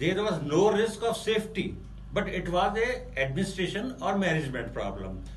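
A man's high-pitched voice with an Indian accent at a fairly quick pace, with audible room echo and light background noise. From Rajasthan, India. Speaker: tourist giving a testimonial. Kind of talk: testimony. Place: office. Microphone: phone near.

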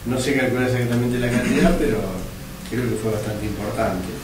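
Delivered at a fairly quick pace with fairly even intonation, the speech carries audible room echo and clear background noise. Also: man, medium pitch for a man.

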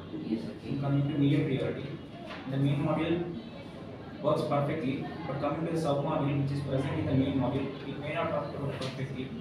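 A man at a fairly quick pace with audible room echo and loud background noise. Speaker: candidate. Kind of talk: interview answer. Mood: calm, slightly nervous. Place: office. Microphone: camera far.

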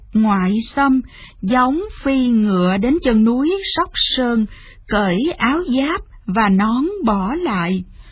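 A woman's fairly high voice with a slightly husky edge, slow pace and lively intonation.

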